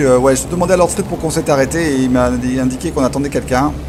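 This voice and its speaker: Very fast and medium-pitched, a man talks with ordinary pitch variation while noticeable background noise plays. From France. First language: French. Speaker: flight sim streamer. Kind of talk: livestream commentary.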